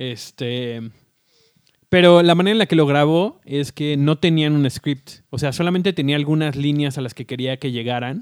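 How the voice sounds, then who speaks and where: Speaking at a moderate pace with ordinary pitch variation, this is an ordinary speaking voice. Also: man. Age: 30s. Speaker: podcast co-host. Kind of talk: casual chat. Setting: recording at home.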